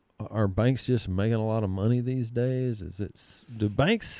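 A man with a Texan accent, fairly low in pitch, dark and mellow in tone, at a moderate pace with ordinary pitch variation, in a dry sound with no echo against a quiet background. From Texas, Comanche. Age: 40s. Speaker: podcast host. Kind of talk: casual chat. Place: studio. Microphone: studio mic.

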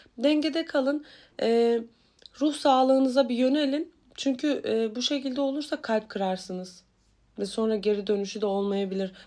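A woman's high, dark, mellow voice at a moderate pace on a very clean recording with a silent background. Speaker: tarot reader. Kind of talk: weekly horoscope reading. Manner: casual, chatty with many fillers.

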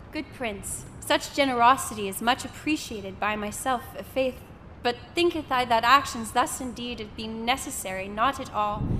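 A woman speaks at a high pitch with ordinary pitch variation and big swings in loudness. Noticeable background noise runs under her voice. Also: moderate pace. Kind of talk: scripted audio drama reading in Shakespearean-style verse, performing a servant maid. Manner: polite, deferential, formal and measured, archaic diction.

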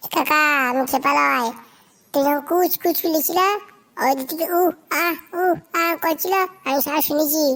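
Using a squeaky, cartoonish character voice, a woman speaks at a fairly quick pace and a high pitch. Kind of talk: comic overacting. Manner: sly, wheedling.

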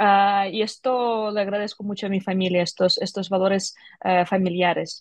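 Her delivery is monotone and flat at a moderate pace. The woman's recording sounds dry with no echo over a quiet background. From Ukraine, Kyiv. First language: Ukrainian or Russian (speaking Spanish). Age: 30s. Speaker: tech entrepreneur; guest. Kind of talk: interview. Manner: halting. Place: office. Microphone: video call.

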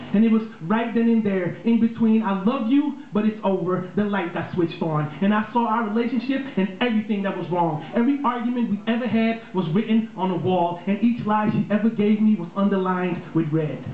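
At a fairly quick pace, a man with a high pitch speaks with ordinary pitch variation, accompanied by light background noise and audible room echo. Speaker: spoken word poet. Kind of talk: spoken word poetry performance. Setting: live on a small bar stage with audience. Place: stage.

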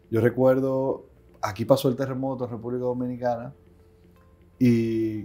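Faint background music plays as a man talks. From Dominican Republic. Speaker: aviation company CEO and pilot; interviewee. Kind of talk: interview. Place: office. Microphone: lapel.

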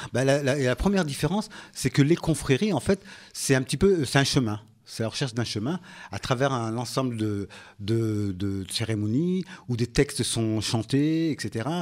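A man's medium-pitched voice with lively intonation and a moderate pace, in a very clean recording with a silent background. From Comoros. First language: Comorian (speaking French). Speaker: local politician and association president. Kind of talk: radio interview. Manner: halting.

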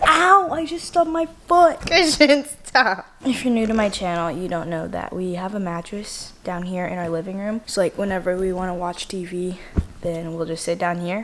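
A woman at a moderate pace, with lively intonation and light background noise. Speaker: vlogger. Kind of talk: casual vlog chat.

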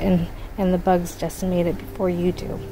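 A woman talks at a moderate pace with little pitch movement over clear background noise. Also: fairly low pitch for a woman.

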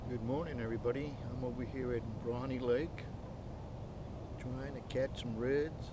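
A man's voice comes through with a dry sound and no echo, set against loud background noise. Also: moderate pace. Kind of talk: casual vlog chat. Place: boat. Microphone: camera far.

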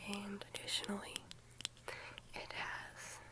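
Soft whispering from a woman, gentle in tone. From United States. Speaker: ASMR creator. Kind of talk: ASMR rambling chat to camera. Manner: soft, gentle, friendly. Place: home room. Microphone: phone near.

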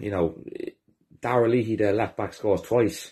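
A man's fairly low, dark and mellow voice, somewhat breathy, in an Irish accent at a fairly quick pace, against a quiet background. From Ireland. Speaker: football fan. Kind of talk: match review. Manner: angry, sweary. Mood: frustrated, disgusted after loss. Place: home room. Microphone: phone near.

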